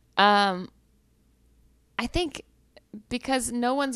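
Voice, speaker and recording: On a very clean recording with a silent background, a woman talks with lively intonation. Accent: Southern US. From US South, Georgia. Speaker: comedian. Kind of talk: casual chat.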